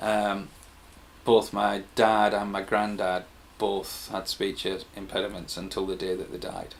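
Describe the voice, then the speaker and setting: A man's fairly low, flat, monotone voice with a Teesside accent, at a fairly slow pace. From Stockton-on-Tees, England. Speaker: musician. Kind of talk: interview answer. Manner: hesitant, occasional repetitions.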